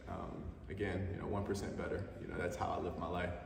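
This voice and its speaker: Speaking at a very fast pace, a man is heard with noticeable background noise. Room echo is audible too. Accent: New Orleans. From New Orleans, US South. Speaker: entrepreneur telling his life story. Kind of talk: personal storytelling monologue. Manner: casual, filler-heavy.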